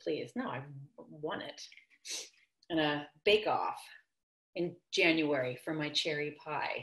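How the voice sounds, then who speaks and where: Speaking at a very slow pace with long, frequent pauses, a woman is heard against a quiet background with audible room echo. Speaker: actor. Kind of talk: scripted virtual theater monologue, couple bickering over video call. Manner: exasperated, sarcastic, argumentative. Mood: flustered, upset, defensive. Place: kitchen. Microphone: video call.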